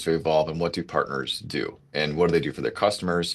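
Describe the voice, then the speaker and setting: In a quiet background, a man speaks at a fairly quick pace. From US Midwest, Minnesota. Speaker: telecom channel sales executive. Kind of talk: panel discussion. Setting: online video call.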